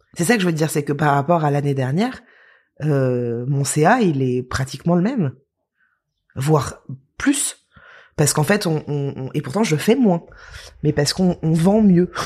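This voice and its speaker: On a very clean recording with a silent background, a woman with a very deep, low pitch and a dark, mellow tone speaks at a moderate pace with lively intonation and long, frequent pauses. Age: 30s. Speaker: influencer. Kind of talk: interview. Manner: halting.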